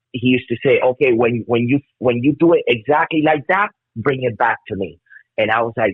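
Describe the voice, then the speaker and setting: The man's pitch sits in the medium range with ordinary variation. He talks at a moderate pace. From Miami, Florida (immigrant child). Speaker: metal bassist. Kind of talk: casual interview chat. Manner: halting, many repetitions and fillers.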